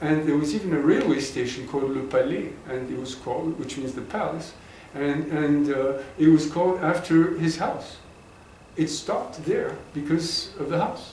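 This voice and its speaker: Audible room echo surrounds a man speaking at a fairly high pitch. He keeps a moderate pace with ordinary pitch variation. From Egypt, Cairo. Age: 70s. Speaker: interviewee recounting family history. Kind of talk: oral history interview. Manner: halting, repeats words.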